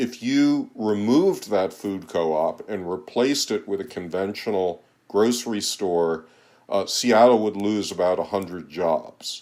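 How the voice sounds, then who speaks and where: An unremarkable speaking voice belongs to a man with an American accent and a fairly low pitch. He talks at a fairly slow pace with ordinary pitch variation, in a very clean recording with a silent background. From United States. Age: 60s. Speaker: economist and author. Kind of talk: interview. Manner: occasional repetitions and fillers.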